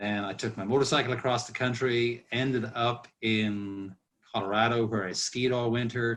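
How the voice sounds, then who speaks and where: A man's medium-pitched, monotone voice with flat intonation, at a moderate pace over a quiet background. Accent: Irish. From Ireland. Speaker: master distiller. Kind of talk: casual chat. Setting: video call.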